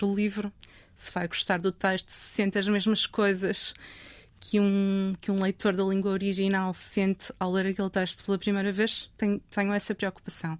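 Moving at a moderate pace, this is an ordinary speaking voice. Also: woman. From northern Portugal, Trofa. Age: 50s. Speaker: literary translator. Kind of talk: interview conversation.

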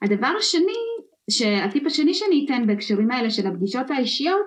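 At a moderate pace, a woman with a high-pitched voice speaks in very wide pitch swings. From former Soviet Union, immigrated to Israel. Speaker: storytelling and communication consultant. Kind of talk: podcast interview. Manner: fluent, animated.

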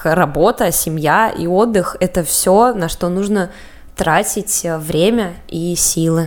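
Noticeable background noise runs behind a woman whose voice sits at a medium pitch. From Russia, Samara. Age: 20s. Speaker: podcast co-host. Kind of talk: casual chat.

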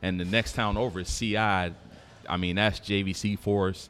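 Over music in the background, a man with an American accent talks at a fairly slow pace in a fairly low pitch, his intonation monotone and flat. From Detroit and New York (from age 14). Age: 40s. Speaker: former firefighter and restaurant owner. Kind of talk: casual chat. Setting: live recording at a downtown venue.

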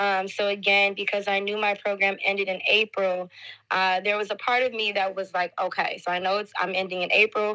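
On a very clean recording with a silent background, a woman with an American accent speaks at a moderate pace in a bright, sharp tone. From Detroit, Michigan, US. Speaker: teacher. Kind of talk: podcast interview.

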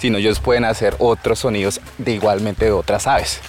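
A man's voice with music in the background. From Colombia, Vaupés (Amazon region). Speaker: local tour guide. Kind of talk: casual interview. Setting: outdoors.

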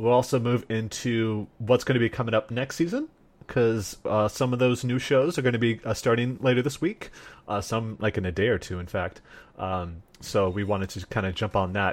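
A man speaks in a normal speaking voice at a moderate pace, with ordinary pitch variation. The background is quiet. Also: medium pitch for a man. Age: 30s. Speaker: anime podcast host. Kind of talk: casual chat.

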